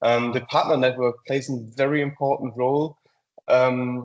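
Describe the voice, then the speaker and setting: A man with a German accent speaks at medium pitch and a moderate pace. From Germany, near Frankfurt. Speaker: software company presenter. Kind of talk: webinar presentation. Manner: hesitant, many fillers.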